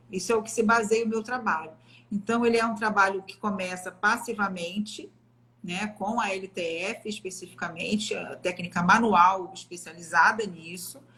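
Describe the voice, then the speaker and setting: Over noticeable background noise, a woman talks at a moderate pace with medium pitch and fairly even intonation, while her loudness swings widely. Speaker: physiotherapist. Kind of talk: live stream interview. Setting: online live stream.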